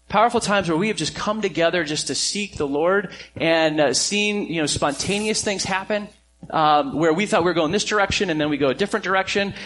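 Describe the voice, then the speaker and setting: With noticeable noise behind him, a man speaks fairly quickly in a high voice whose pitch varies in an ordinary way. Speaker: pastor. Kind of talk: sermon. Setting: church.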